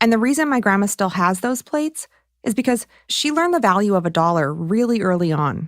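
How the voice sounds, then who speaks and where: Talking at a fairly quick pace, a woman has a plain, everyday voice at medium pitch with lively intonation. The recording is very clean, with a silent background. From Michigan. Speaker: documentary podcast host. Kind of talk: scripted narration.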